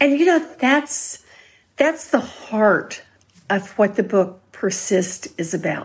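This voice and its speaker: The woman's voice is fairly high and somewhat breathy, with very wide pitch swings. She speaks at a very slow pace. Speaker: author. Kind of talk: interview. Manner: soft-spoken.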